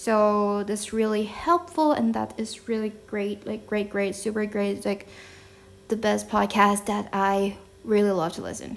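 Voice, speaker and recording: This woman has a Thai accent and a medium pitch. She speaks at a fairly slow pace with ordinary pitch variation. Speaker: podcast host. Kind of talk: casual talk to camera. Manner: casual, chatty.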